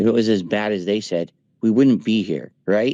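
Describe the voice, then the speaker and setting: A man speaks with an ordinary speaking voice. His pitch is fairly low. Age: 40s. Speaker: streamer. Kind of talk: casual chat. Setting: voice chat.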